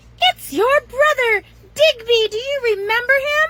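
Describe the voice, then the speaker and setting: An extremely high, squeaky, put-on character voice that sounds female, at a moderate pace. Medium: read story. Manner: warm, chatty.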